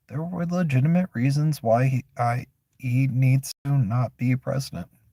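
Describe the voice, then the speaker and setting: In an American accent, a man speaks at medium pitch with ordinary pitch variation and a dark, mellow, somewhat breathy tone, the sound dry and close with no echo on a very clean recording with a silent background. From Florida. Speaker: streamer. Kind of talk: casual opinion monologue. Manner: halting.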